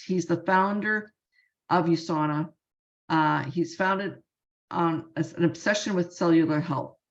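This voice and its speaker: The speaker is a woman with a fairly low pitch. Her pace is moderate and her pitch variation ordinary. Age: 60s. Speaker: supplement company sales affiliate. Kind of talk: sales pitch.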